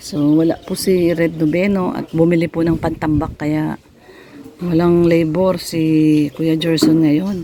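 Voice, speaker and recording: Over noticeable background noise, the words unfold at a fairly slow pace. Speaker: vlogger. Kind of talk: casual home-building vlog.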